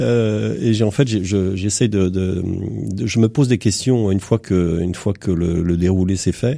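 Very deep and low, a man's voice carries a dark, mellow tone with vocal fry and ordinary pitch variation. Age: 60s. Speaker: entrepreneur, former national scout leader. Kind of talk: radio panel discussion. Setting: radio studio. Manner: halting, many repetitions.

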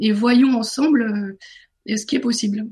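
An ordinary speaking voice, talking at a fairly slow pace with ordinary pitch variation. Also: woman. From northern France. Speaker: author and business coach. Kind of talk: radio interview.

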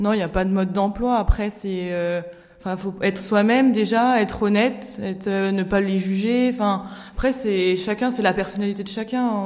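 Over noticeable background noise, a woman talks at a medium pitch. Her intonation is fairly even. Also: moderate pace. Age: 20s. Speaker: nurse and association volunteer. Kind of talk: recorded interview.

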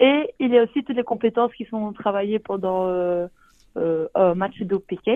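A woman speaks at a moderate pace in a normal speaking voice, pitched fairly high. Her pitch variation is ordinary. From Belgium, Liège. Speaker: sport co-creator, physical education graduate. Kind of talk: radio interview.

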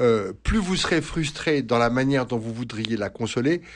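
A man speaks at a very slow pace with lively intonation against a quiet background. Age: 60s. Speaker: priest and psychoanalyst. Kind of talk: radio advice answering listener questions. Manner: halting, many hesitations and repetitions.

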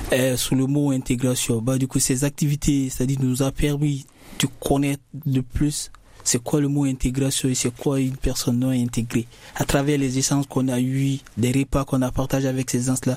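A man's dark, mellow tone at medium pitch, monotone and flat, at a moderate pace with very even loudness. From Guinea. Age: young. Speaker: young migrant student. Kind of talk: casual discussion.

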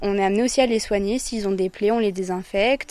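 A woman talks very fast in a medium pitch, keeping her intonation fairly even. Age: 20s. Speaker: volunteer at wildlife centre. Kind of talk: interview on location.

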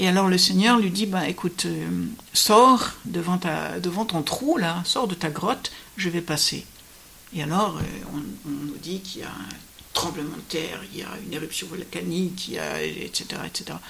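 A woman speaks in a fairly low pitch at a fairly slow pace with ordinary pitch variation. Noticeable background noise is present. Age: 70s. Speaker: Benedictine nun. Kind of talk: radio interview on scripture. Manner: hesitant, with many fillers.

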